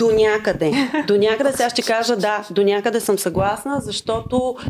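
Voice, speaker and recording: A woman talks at a moderate pace with fairly high pitch and ordinary pitch variation. Hers is a plain, everyday voice. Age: 30s. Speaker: singer-songwriter. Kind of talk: casual chat.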